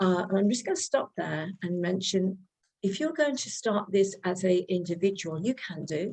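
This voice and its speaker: This voice has a dark, mellow tone and lively intonation, with a British accent. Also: woman. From United Kingdom. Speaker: real estate lender. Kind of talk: presentation. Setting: video call.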